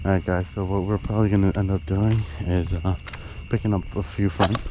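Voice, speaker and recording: Over noticeable background noise, a man with a very deep, low voice speaks fairly quickly and fairly evenly, the sound dry with no echo. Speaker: vlogger exploring. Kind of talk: casual vlog chat. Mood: cautious, slightly nervous. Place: open country. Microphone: phone near.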